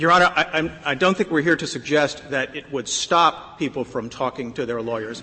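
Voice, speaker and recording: Over noticeable background noise, a man talks at a moderate pace with a fairly high pitch. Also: ordinary pitch variation. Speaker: lawyer arguing before the court. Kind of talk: appellate oral argument. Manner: halting, frequent repetitions.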